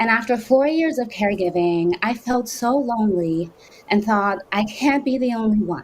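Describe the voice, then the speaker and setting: This woman has a fairly high pitch with ordinary variation, a somewhat breathy quality, very even loudness and a moderate pace. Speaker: panel moderator and caregiver content creator. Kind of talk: moderated panel introduction.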